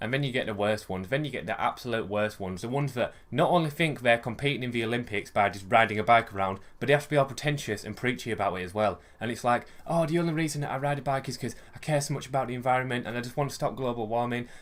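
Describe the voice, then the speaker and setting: A man with a West Yorkshire accent speaks very fast, with hardly any pauses. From West Yorkshire, England. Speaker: vlogger. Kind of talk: casual rant vlog. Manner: animated.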